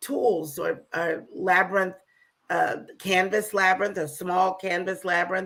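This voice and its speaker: A woman speaks with a bright, sharp tone and fairly even intonation. The recording is very clean, with a silent background. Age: 60s. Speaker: spiritual practitioner and labyrinth facilitator. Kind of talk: interview conversation. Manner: halting, many fillers.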